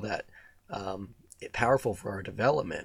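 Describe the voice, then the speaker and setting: There is vocal fry in this man's voice as he speaks at a moderate pace. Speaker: wellness podcast host. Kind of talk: solo reflective monologue.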